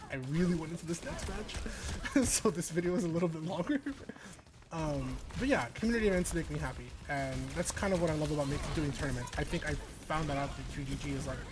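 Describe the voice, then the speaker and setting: Very fast speech in an American accent, with music in the background. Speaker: gaming vlogger and esports commentator. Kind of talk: casual gameplay vlog talk. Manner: animated.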